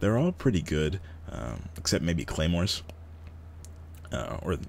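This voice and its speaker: Speaking at a moderate pace, a man uses a very deep, low pitch with vocal fry. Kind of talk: gaming tutorial commentary; casual talk to camera. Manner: whispering, quiet.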